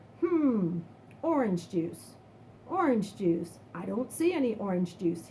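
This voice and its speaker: A woman's put-on character voice at medium pitch, with very wide pitch swings, a fairly slow pace, and clear background noise. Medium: read story. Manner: folksy, patient.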